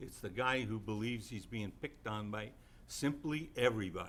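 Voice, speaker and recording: There is audible room echo as a medium-pitched man speaks at a moderate pace with ordinary pitch variation. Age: 70s. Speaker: city council member. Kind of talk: public statement at council meeting. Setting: city council chamber. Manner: indignant, emphatic.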